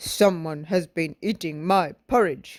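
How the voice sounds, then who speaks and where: Someone in a put-on character voice talks fairly slowly at a middle pitch, captured in a very clean recording with a silent background. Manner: cross.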